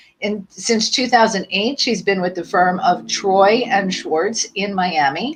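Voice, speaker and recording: A woman talks at a fairly slow pace with hardly any pauses, at medium pitch with ordinary pitch variation. It is an unremarkable speaking voice. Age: 60s. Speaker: podcast host. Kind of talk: live podcast interview. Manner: upbeat.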